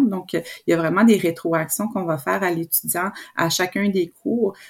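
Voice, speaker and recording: The speaker has an unremarkable speaking voice, with ordinary pitch variation at a fairly slow pace. The recording is very clean, with a silent background. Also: woman. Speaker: professor. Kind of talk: interview.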